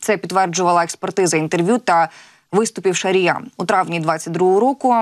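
At a moderate pace, a woman talks with ordinary pitch variation against a quiet background. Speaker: news anchor. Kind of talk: live news broadcast. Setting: TV studio. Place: studio. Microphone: lapel.

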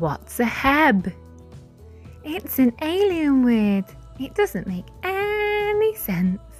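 Music plays in the background as a woman speaks at a very slow pace with long, frequent pauses. Her high voice swings very widely in pitch. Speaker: phonics teacher. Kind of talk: children's phonics lesson. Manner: slow, clear.

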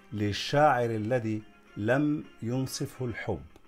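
Faint music plays in the background. Over it, a man speaks at a very slow pace. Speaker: academic, doctor of law and literature. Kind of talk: introduction to camera. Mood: warm, welcoming. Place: garden. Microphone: phone near.

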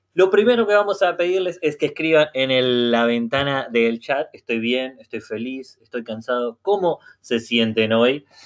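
Fairly slow speech from a man with a Rioplatense accent against a quiet background. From Uruguay. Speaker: native-speaker language facilitator. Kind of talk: online language class. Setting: video call. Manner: halting. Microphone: video call.

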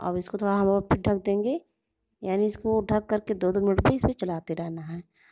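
A woman speaks at a moderate pace against a quiet background. Her tone is dark and mellow. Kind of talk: tutorial. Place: kitchen.

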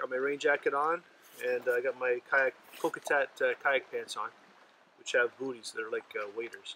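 Light background noise sits under a man speaking at a moderate pace, the sound dry with no echo. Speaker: camping vlogger. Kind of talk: casual vlog chat. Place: forest.

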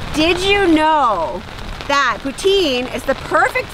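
Raising and projecting her voice, a woman talks very slowly with lively intonation, in a dry sound with no echo and noticeable background noise. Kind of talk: casual vlog chat. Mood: amused, laughing. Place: rain. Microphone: camera far.

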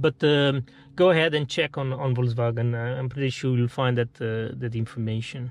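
At a fairly quick pace, a man talks in a somewhat breathy voice with fairly even intonation. The sound is dry with no echo, over a quiet background. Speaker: car owner reviewer. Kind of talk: casual vlog chat. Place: car. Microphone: phone near.

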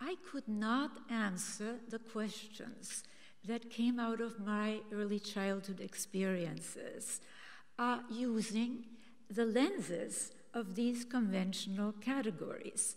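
With an Austrian accent, the speaker talks very slowly with fairly even intonation against a quiet background. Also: woman, fairly high pitch for a woman. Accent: Austrian German-tinged English. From Austria, Vienna. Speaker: author and systems scientist. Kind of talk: speech. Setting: stage with audience. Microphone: podium.

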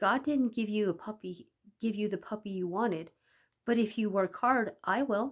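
Plain reading aloud with ordinary pitch variation over a quiet background

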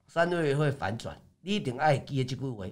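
Against a quiet background, a man with a fairly high pitch speaks at a moderate pace in an animated tone with lively intonation. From Taiwan. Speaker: stock market commentator; stock market analyst. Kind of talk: market analysis livestream; market commentary broadcast. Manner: filler-heavy, frequent 哦 and 啊. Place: studio.

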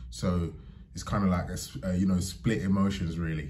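A man's very deep, low voice, dark and mellow in tone and somewhat breathy, at a fairly quick pace over light background noise. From London, England (Barking); London. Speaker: vlogger. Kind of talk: casual monologue to camera. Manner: halting, many fillers. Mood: thoughtful, calm. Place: home room. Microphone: phone near.

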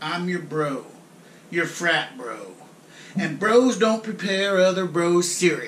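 With audible room echo and light background noise, a man talks at a very slow pace with ordinary pitch variation. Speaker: comic actor playing frat bro. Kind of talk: comedic rant monologue. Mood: mock outrage. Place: kitchen. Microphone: camera far.

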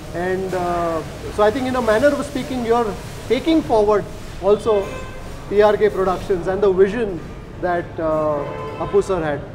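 The speech moves at a moderate pace, broken by long, frequent pauses. Clear music plays in the background. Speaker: food show host interviewer. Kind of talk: interview questions. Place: cafe. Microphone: lapel.

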